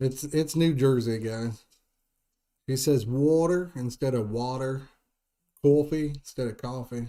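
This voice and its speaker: A man with a Midwestern US accent, a dark, mellow tone, fairly even intonation and long, frequent pauses. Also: medium pitch for a man, fairly slow pace. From Indiana. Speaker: fishing YouTuber. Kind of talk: live stream chat. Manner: casual.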